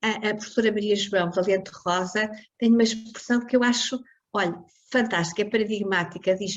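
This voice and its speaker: A somewhat breathy quality runs through the speech. The delivery is moderately paced. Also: woman. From northern Portugal, Porto. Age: 70s. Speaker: foundation president. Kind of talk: interview. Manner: animated.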